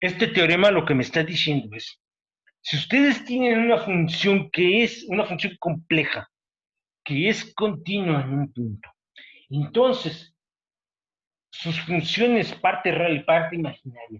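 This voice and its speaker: The speech moves at a fairly slow pace with very wide pitch swings and long, frequent pauses. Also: man, high pitch for a man. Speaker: university professor. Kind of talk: lecture.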